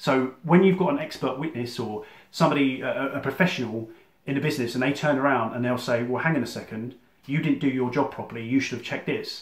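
Amid audible room echo, a man with a southern English accent talks at a very fast pace with ordinary pitch variation. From southern England (Surrey); England. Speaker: electrician and business coach. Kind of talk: explainer monologue to camera; casual explanatory talk to camera. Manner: casual, with fillers and restarts. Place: home room. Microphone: phone near.

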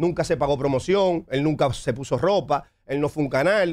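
A man's fairly high-pitched voice with lively intonation, at a moderate pace, over a quiet background. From Dominican Republic, San Pedro de Macorís; Dominican Republic. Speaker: music producer and label founder; interview guest. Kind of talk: interview. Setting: studio. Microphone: studio mic.

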